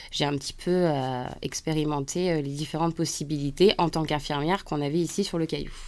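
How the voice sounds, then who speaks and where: A woman's very deep, low voice at a fairly quick pace, fairly even in intonation, with hardly any pauses. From central France (Auvergne). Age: 30s. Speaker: nurse and artist. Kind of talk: radio interview. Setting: radio studio.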